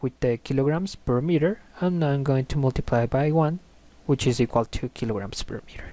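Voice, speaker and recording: Someone speaks with a Spanish accent at a moderate pace. The recording is very clean, with a silent background. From Colombia. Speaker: engineering tutor. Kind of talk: tutorial. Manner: halting, with fillers.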